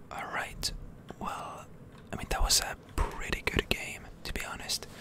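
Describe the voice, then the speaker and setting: A whisper at a fairly slow pace. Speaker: ASMR gaming content creator. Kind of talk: ASMR gaming commentary, whispered. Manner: whispered, soft-spoken.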